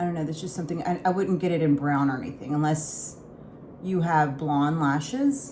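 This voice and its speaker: A woman talks at a fairly quick pace with a very deep, low pitch and ordinary pitch variation. Noticeable background noise is present. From Houston, Texas. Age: 40s. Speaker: lifestyle vlogger. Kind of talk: casual makeup talk to camera.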